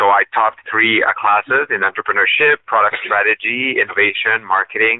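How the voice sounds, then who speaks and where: Hardly pausing at all, a man with a Quebec accent talks at a fairly quick pace with very even loudness. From Eastern Quebec. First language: French. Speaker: politician. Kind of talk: interview. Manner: halting, many fillers.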